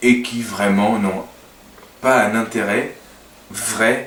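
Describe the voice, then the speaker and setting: In a Portuguese accent, a man speaks very slowly with monotone, flat intonation, amid audible room echo and noticeable background noise. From Portugal. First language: Portuguese (speaking French). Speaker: language teacher and web designer. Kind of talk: casual talk to camera. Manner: halting, many hesitations.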